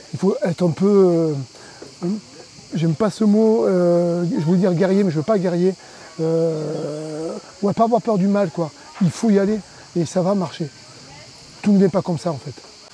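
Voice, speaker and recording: A man's high-pitched voice at a fairly slow pace, with ordinary pitch variation, long and frequent pauses, and noticeable background noise. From southern France, Cévennes (Anduze). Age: 50s. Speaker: adventure park founder. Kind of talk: interview. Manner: halting, many hesitations.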